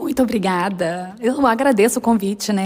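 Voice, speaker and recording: A somewhat breathy woman's voice with a Minas Gerais accent. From Minas Gerais, Brazil. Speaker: accountant and business mentor. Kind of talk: casual interview chat.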